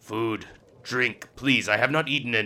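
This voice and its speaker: In a put-on character voice, the speaker sounds raspy and growling. The pace is moderate and the intonation fairly even. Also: man, medium pitch for a man. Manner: growling, desperate.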